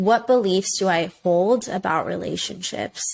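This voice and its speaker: Delivery is very slow, with fairly even intonation. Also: woman. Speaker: podcast host. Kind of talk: solo podcast talk. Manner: mumbling.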